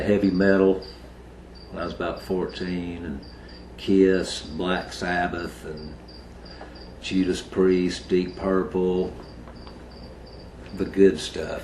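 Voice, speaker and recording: In an East Tennessee accent, a man with a very deep, low pitch speaks with long, frequent pauses, with audible room echo and noticeable background noise. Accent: Southern US (East Tennessee). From US South, Kingsport, Tennessee. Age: 40s. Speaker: heavy metal bassist. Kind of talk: interview.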